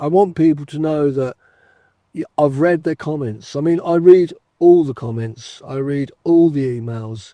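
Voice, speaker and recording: Speaking at a moderate pace, the voice has a dark, mellow tone. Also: man. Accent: English. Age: 60s. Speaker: retired fishing vlogger. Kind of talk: casual chat. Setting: outdoors. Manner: hesitant, fillers.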